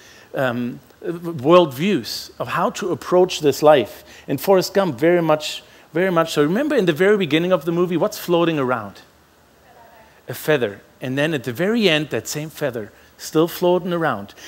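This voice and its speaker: Speaking with a German accent, a man talks at a moderate pace in a high pitch, his intonation lively. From Germany. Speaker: pastor. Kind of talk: sermon.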